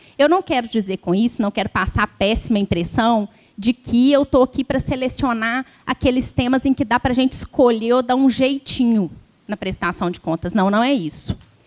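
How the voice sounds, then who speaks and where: A woman's high voice in a rural Minas Gerais accent, with ordinary pitch variation, a moderate pace and a dry, close sound with no echo. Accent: mineiro, rural interior Minas. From Brazil, interior of Minas Gerais. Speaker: law professor, electoral law speaker. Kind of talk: lecture. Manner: conversational, informal.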